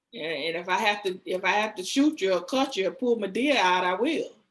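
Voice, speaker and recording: Speaking with a Southern US accent, a woman uses a bright, sharp tone and fairly high pitch at a moderate pace. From US South, Georgia near Savannah. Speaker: cosmetology school owner. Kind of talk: interview. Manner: soft-spoken.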